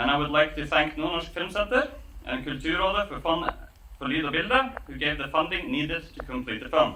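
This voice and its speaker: A man talks at a fairly quick pace with lively intonation and big swings in loudness. Noticeable background noise sits behind him. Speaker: filmmaker. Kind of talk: premiere speech to festival audience.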